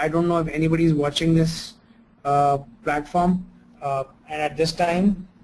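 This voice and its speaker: Speaking at a moderate pace, a man with a fairly high pitch keeps a monotone, flat intonation. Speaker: dentist and lecturer. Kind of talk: online lecture. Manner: hesitant, many fillers.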